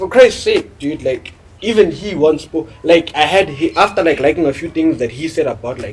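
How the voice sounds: The voice has a husky, rough edge and ordinary pitch variation. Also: man, fairly high pitch for a man, moderate pace.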